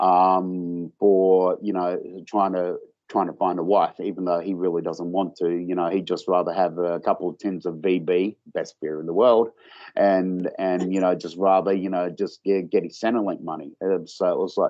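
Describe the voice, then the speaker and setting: In an Australian accent, a man talks in a very deep, low pitch with monotone, flat intonation. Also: moderate pace. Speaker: author and film producer. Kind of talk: interview. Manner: halting, many fillers and repeats.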